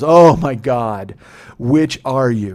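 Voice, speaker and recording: A man puts on a raspy character voice. His pitch is medium, with ordinary variation. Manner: bitter.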